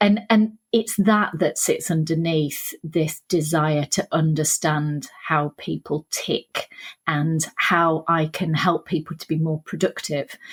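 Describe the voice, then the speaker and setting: Very slow, somewhat breathy speech in a Sheffield accent, fairly even in intonation, with hardly any pauses and a dry, close sound with no echo. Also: woman, fairly low pitch for a woman. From northern England, Sheffield. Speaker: author and leadership trainer. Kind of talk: podcast interview.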